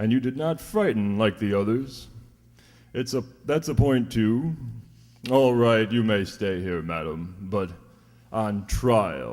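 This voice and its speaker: A put-on character voice at a fairly slow pace. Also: man. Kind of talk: 1940s radio acting. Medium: audio drama. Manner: gruff, swearing, nautical commands.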